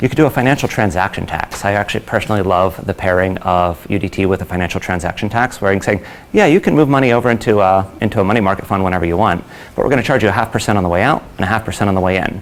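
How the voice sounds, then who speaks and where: A man talks very fast at a fairly low pitch with ordinary pitch variation. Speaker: conference speaker, company founder. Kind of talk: conference talk.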